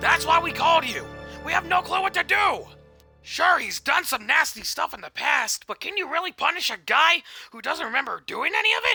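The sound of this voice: A cartoonish character voice talks at a fairly quick pace with faint music in the background.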